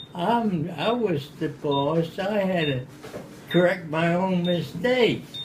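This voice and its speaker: Over noticeable background noise, a man with an American accent talks at a very slow pace in a high pitch with ordinary pitch variation. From Baltimore, Maryland. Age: 80s+. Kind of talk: interview answer. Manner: slow, hesitant.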